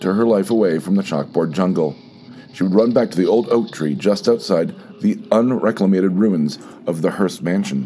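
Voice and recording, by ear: Reading aloud in a natural voice, with intonation that stays lively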